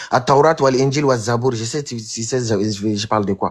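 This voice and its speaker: The recording is very clean, with a silent background. A man speaks in an animated tone, sounding somewhat breathy. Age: 20s. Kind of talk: heated debate. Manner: halting.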